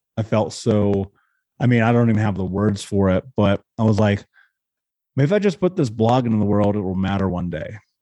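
In an American accent, the voice has a dark, mellow tone and ordinary pitch variation. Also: man, fairly low pitch for a man. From Indiana, US Midwest. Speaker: podcast host, abuse survivor. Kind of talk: interview.

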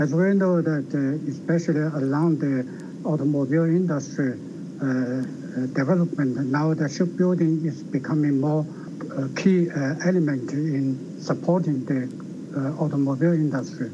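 A man with a Chinese accent, fairly high-pitched, with ordinary pitch variation and a fairly slow pace, amid noticeable background noise and audible room echo. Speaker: think tank researcher. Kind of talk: interview.

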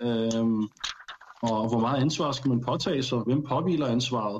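An ordinary speaking voice delivered at a moderate pace with fairly even intonation. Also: man. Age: 30s. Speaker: panel guest. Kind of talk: casual discussion. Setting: studio.

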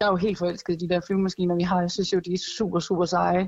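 The recording sounds dry and close, without any echo. A woman talks in a medium pitch. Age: 20s. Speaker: air force weapons technician. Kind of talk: interview. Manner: hesitant, repeats words.

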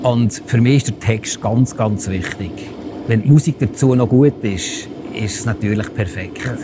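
A man with a Bernese accent, medium pitch, ordinary pitch variation and a fairly slow pace, amid noticeable background noise. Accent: Bernese Swiss German. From Switzerland, Bernese Oberland near Thun. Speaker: paramedic. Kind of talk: casual interview.

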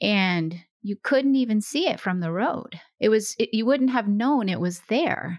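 A woman with an American accent, a normal speaking voice, fairly high pitch, lively intonation and a fairly slow pace. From small-town Oregon. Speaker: retired FBI profiler. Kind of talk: interview.

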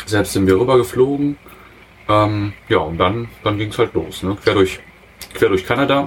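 With long, frequent pauses, a man talks at a moderate pace in a fairly low pitch with ordinary pitch variation. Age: 30s. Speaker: industrial mechanic, traveller. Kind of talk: casual interview. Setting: in a motorhome. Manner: hesitant, many fillers.

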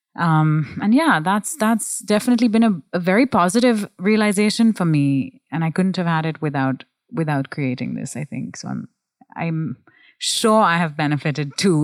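In a very clean recording with a silent background and a dry, close sound with no echo, a woman speaks at a moderate pace in a plain, everyday voice, fairly low in pitch with lively intonation. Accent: American. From India (Goa, Bangalore), schooled in US. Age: 30s. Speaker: sex educator and content creator. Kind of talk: interview.

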